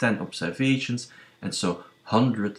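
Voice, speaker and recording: A man with a non-native accent, speaking at a very slow pace with ordinary pitch variation. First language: not English. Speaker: statistics tutorial youtuber on gambling. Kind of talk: tutorial. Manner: hesitant, many fillers.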